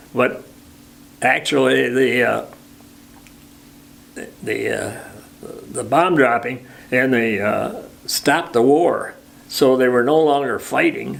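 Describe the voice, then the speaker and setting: With an American accent, a man speaks at a very slow pace, leaving long, frequent pauses. Noticeable background noise is audible. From Michigan. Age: 90s; old. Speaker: war veteran. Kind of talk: interview answer.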